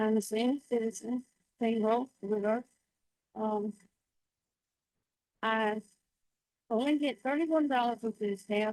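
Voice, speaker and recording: Speaking with a Southern US accent, a woman keeps a fairly high pitch, fairly even intonation and very even loudness at a fairly slow pace with long, frequent pauses. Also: dry, close sound with no echo. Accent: Southern US (Georgia). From Georgia, US South. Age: 70s. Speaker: public commenter. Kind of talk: public comment testimony. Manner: halting.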